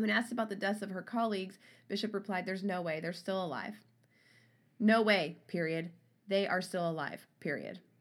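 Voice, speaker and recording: An unremarkable speaking voice comes through at a fairly quick pace. Its intonation is fairly even. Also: woman, medium pitch for a woman, very clean recording, silent background. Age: 30s. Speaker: true crime podcast co-host. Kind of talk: casual chat with read-out case notes.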